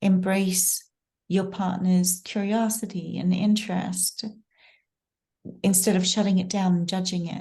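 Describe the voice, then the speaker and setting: Fairly slow and somewhat breathy, this voice has a dark, mellow tone, flat monotone intonation, and long, frequent pauses. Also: woman, medium pitch for a woman. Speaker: podcast host. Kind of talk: interview question.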